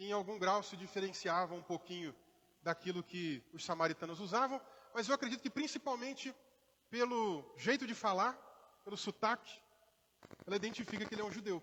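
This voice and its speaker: An animated, raised, projected voice with a bright, sharp tone moves at a fairly quick pace. It has ordinary pitch variation and long, frequent pauses. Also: man, high pitch for a man. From Brazil, Rio de Janeiro, raised in interior Minas Gerais. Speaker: pastor. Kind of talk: sermon. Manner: conversational, animated.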